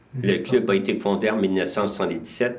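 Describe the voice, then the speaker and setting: There is audible room echo and noticeable background noise as a man speaks at a fairly low pitch. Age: 70s. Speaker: community club volunteer. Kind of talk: interview.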